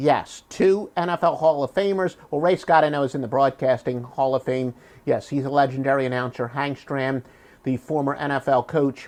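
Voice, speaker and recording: The speaker is a man with a Philadelphia accent. His pitch variation is ordinary. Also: quiet background. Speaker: sports handicapper. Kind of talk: promotional monologue. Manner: drops h in words like human.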